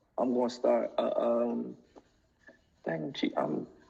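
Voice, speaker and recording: This is a man speaking. He talks at a fairly slow pace. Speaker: rapper. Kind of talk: casual interview. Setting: Instagram live video. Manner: stumbling over words.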